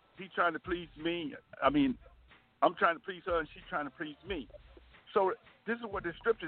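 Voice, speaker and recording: This is a man with a high pitch. His intonation is lively. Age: 70s. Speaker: pastor. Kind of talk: bible study discussion. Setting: phone call.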